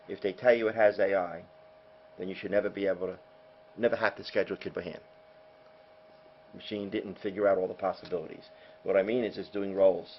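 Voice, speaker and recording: Talking at a very fast pace, a man uses a fairly low pitch and a monotone, flat intonation. His loudness swings widely, and long, frequent pauses break up his speech. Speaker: software company founder, former math teacher. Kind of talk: sales presentation. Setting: hotel luncheon with audience.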